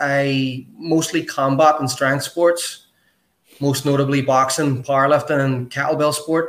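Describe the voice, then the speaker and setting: A man in a Northern Irish accent, fairly high-pitched, at a moderate pace with fairly even intonation. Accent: Northern Irish (Belfast). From Belfast, Northern Ireland. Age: 40s. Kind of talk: casual interview chat.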